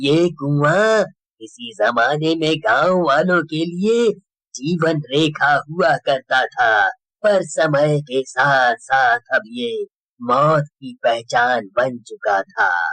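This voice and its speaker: A cartoonish character voice with lively intonation, a very slow pace, and a dry, close sound with no echo. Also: man, fairly high pitch for a man. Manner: slow, ominous storytelling.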